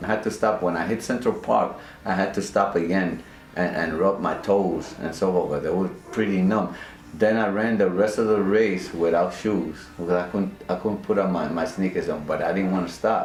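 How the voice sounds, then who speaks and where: A man's voice with ordinary pitch variation, amid noticeable background noise and audible room echo. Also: fairly low pitch for a man, moderate pace. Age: 60s. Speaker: CrossFit trainer, retired x-ray technician. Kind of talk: interview, personal story. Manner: halting, repeats words.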